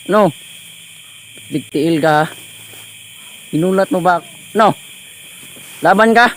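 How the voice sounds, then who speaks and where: A man with a high pitch, ordinary pitch variation, a very slow pace, and long, frequent pauses over noticeable background noise. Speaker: ghost-hunting vlogger. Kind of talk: vlog narration. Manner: animated.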